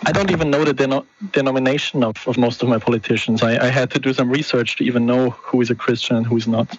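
Over noticeable background noise, a man at medium pitch talks very fast with hardly any pauses, his intonation fairly even and his loudness very even. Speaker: caller. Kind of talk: phone-in discussion.

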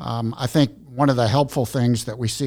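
At a fairly quick pace and with fairly even intonation, a man talks in a normal speaking voice. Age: 60s. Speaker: former businessman and missions worker. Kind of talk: casual chat.

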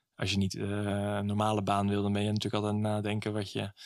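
Fairly quick, monotone speech from a man, flat in intonation and fairly low in pitch. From Zeeland, Netherlands (Middelburg). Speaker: volunteer and traveller. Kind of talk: interview. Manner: hesitant, many fillers.

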